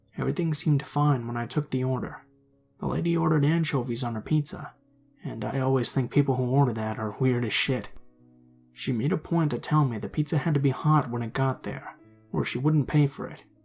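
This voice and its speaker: With music in the background, the speaker uses an American accent at a fairly quick pace, with ordinary pitch variation. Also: man, medium pitch for a man. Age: 20s. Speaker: story narrator. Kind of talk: horror story narration, casual first-person storytelling. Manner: casual, conversational, slightly sarcastic.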